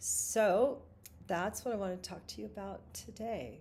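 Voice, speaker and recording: There is vocal fry in this woman's voice. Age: 60s. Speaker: singer-songwriter and vlogger. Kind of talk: live stream monologue. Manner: halting.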